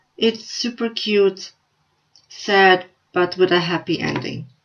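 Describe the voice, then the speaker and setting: A woman talks at a fairly slow pace and a medium pitch. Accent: Slovenian. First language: Slovenian. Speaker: book vlogger. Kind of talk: casual vlog review.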